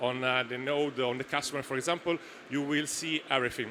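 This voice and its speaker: A man talks at a fairly quick pace in an Italian accent. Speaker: startup founder. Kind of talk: Q&A after a pitch. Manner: halting, many fillers.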